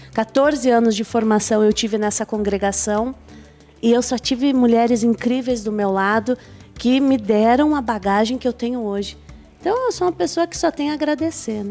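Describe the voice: Over music in the background, a woman with a fairly high pitch talks at a moderate pace. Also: ordinary pitch variation.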